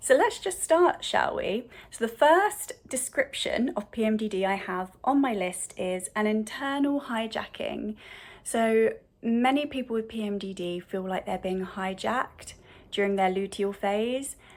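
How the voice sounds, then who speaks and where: A woman's fairly high voice, lively in intonation, at a fairly slow pace. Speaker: integrative counsellor and mental health channel host. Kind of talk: educational talk to camera. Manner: hesitant with fillers.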